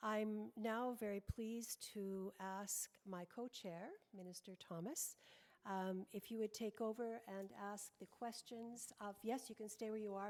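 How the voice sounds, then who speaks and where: With a normal speaking voice, a woman talks at a moderate pace, medium pitch and fairly even intonation. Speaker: parliamentarian, panel co-chair. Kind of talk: panel moderation.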